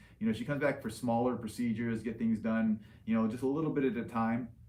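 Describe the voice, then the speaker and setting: A man's ordinary pitch variation carries through audible room echo. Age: 40s. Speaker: liposuction surgeon hosting live Q&A. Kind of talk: livestream Q&A. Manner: casual, filler-heavy.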